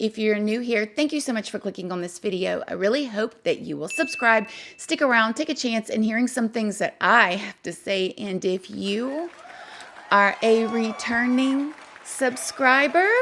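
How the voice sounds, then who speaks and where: Over noticeable background noise, a woman with a fairly high pitch speaks at a moderate pace, her intonation lively and her tone animated. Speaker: true crime YouTuber. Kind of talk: casual vlog-style commentary.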